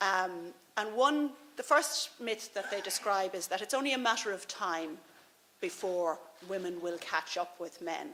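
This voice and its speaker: A woman speaks in an Irish accent. Her pitch is medium and her pace fairly slow. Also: lively intonation. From Ireland. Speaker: policy advisor, former veterinary surgeon. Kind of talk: conference speech. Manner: halting, with fillers and repetitions.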